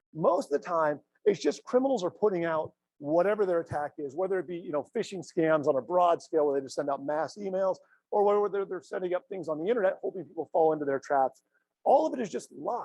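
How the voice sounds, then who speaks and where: A man talks at a very fast pace with a high pitch, lively intonation and an animated tone. The sound is dry and close, with no echo. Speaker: cybersecurity expert and speaker. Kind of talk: conference keynote presentation.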